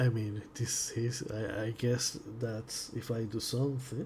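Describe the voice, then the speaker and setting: A man's somewhat breathy voice at a medium pitch, with a non-native accent and fairly even intonation. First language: not English. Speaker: indie game developer. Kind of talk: tutorial-style software exploration. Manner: halting, with frequent repetitions.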